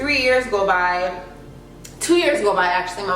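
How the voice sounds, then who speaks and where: A woman's animated, medium-pitched voice with an American accent, with audible room echo and noticeable background noise. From North Carolina. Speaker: vlogger. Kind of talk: casual vlog talk to camera.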